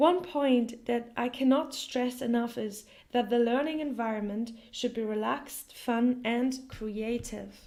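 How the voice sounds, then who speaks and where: At a fairly slow pace with hardly any pauses, a woman with a German accent speaks at a high pitch with fairly even intonation. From Germany. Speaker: language teacher. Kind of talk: tutorial.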